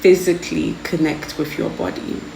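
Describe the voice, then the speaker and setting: A woman speaks at a fairly low pitch. Audible room echo and noticeable background noise surround her voice. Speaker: tarot card reader. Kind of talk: pick-a-card tarot reading. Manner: stuttering a lot; casual, hesitant with fillers.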